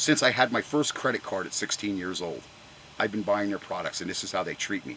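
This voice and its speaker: Noticeable background noise sits behind a man whose tone is animated. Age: 60s. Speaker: car enthusiast vlogger. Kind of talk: angry rant.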